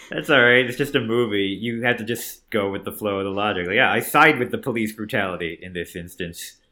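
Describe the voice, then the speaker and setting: Using a plain, everyday voice at a fairly low pitch, a man talks at a fairly quick pace with hardly any pauses and ordinary pitch variation. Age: 30s. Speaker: comedian. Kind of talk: casual chat. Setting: video call.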